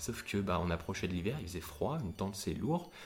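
A man talks at a very fast pace with lively intonation. His voice is somewhat breathy. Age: 20s. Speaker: young solo traveller. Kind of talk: interview testimony.

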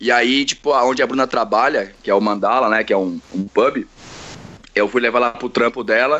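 A man talks at a medium pitch with ordinary pitch variation. Noticeable background noise can be heard. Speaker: teacher. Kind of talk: casual chat.

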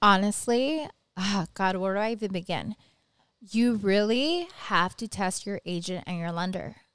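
An unremarkable speaking voice from a woman with an American accent, medium pitch, ordinary pitch variation and a moderate pace. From Southern California (Whittier). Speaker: mortgage lender. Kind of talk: casual chat. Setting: studio.

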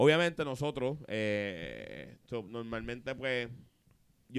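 There is a normal speaking voice here, with ordinary pitch variation. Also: man. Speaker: podcast host. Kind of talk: casual chat.

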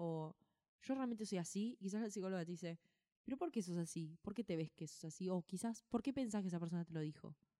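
A woman speaks with an Argentine accent at a very fast pace. Her dark, mellow tone comes through in a dry, close sound with no echo. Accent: Rioplatense Argentine Spanish. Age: 20s. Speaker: podcast co-host. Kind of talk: casual chat.

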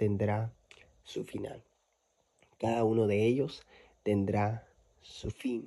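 A man's medium-pitched voice, dark and mellow in tone, in a very clean recording with a silent background. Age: 20s. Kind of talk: devotional monologue.

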